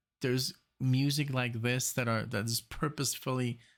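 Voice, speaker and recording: On a very clean recording with a silent background, a man with a medium pitch speaks at a moderate pace in a German accent. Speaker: music reaction youtuber. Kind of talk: casual music reaction commentary. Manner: halting, many fillers and restarts.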